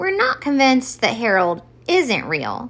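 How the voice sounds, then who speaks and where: Woman in a put-on character voice, fairly high pitch, very wide pitch swings, moderate pace. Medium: read story. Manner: deliberate, weighing both sides.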